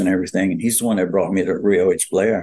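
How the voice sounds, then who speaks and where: A man's fairly low voice in a Louisiana accent, with monotone, flat intonation. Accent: Louisiana Southern US. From Louisiana, New Orleans. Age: 80s+. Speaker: retired bodybuilder and actor. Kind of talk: interview storytelling. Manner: halting, many fillers.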